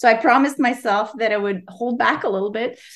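A woman speaks with a Quebec accent on a very clean recording with a silent background. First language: French. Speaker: novelist. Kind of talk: interview. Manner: halting.

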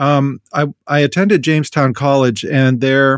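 A man's normal speaking voice, a normal speaking voice at medium pitch with an American accent, ordinary pitch variation and a fairly slow pace, in a dry, close sound with no echo. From US Midwest, rural North Dakota. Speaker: theology professor. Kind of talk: interview.

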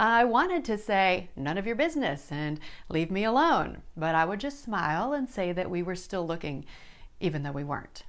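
A woman talks at a medium pitch with very wide pitch swings. The room echo is audible. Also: moderate pace. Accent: American. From South Dakota, US Midwest. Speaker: online Bible study host. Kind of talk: personal testimony.

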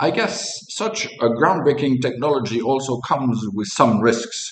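Noticeable background noise sits behind a man speaking. His pitch is medium and his intonation lively. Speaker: chief investment officer. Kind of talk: interview-style podcast dialogue.

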